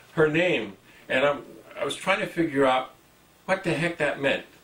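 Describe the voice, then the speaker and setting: Noticeable noise sits in the background. A man talks at a high pitch. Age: 60s. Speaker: TV show host. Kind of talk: interview.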